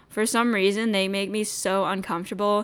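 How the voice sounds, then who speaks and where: A woman with a plain, everyday voice, fairly high pitch, fairly even intonation and a moderate pace, on a very clean recording with a silent background. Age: 20s. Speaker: solo podcast host. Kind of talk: casual monologue. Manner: casual, crude and rambling.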